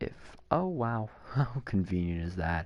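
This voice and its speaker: The voice has a dark, mellow tone and lively intonation. The background is quiet. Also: man. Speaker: gaming streamer. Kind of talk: live gameplay commentary.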